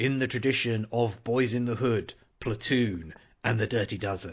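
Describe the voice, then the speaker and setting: In a booming, put-on character voice, the speaker talks at a moderate pace with ordinary pitch variation. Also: man, medium pitch for a man. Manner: dramatic, announcer-style.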